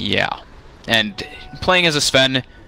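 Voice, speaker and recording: Music plays in the background as a man speaks. His pitch variation is ordinary. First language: not English. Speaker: esports commentator. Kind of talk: live commentary.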